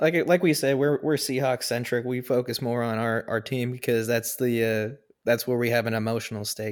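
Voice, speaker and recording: An unremarkable speaking voice from a man at medium pitch, fairly quick pace with hardly any pauses and fairly even intonation, on a very clean recording with a silent background. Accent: American. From US Pacific Northwest. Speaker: sports podcast co-host. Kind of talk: casual chat.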